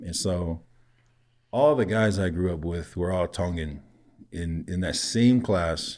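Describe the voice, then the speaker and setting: With a Samoan accent, a man speaks at a fairly slow pace in a very deep, low pitch, using ordinary pitch variation and long, frequent pauses on a very clean recording with a silent background. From Samoa and Hawaii (Laie), raised Samoan. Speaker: podcast guest, creative maker. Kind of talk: casual conversation.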